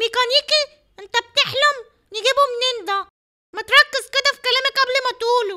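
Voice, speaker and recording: The pace stays moderate. The voice is a cartoonish character voice. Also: woman, extremely high pitch for a woman, dry, close sound with no echo. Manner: sarcastic, bossy.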